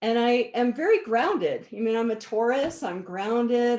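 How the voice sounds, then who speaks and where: Lively intonation runs through an ordinary speaking voice set at a moderate pace. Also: woman. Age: 60s. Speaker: energy healer. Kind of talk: interview.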